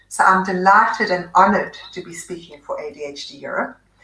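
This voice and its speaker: A woman speaks with a South African accent. Her pace is moderate. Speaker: psychiatrist. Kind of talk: presentation. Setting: online webinar.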